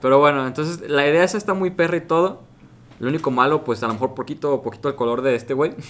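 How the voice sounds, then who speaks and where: At a very fast pace, a man speaks in a fairly high voice with ordinary pitch variation. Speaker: podcast co-host. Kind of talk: casual chat.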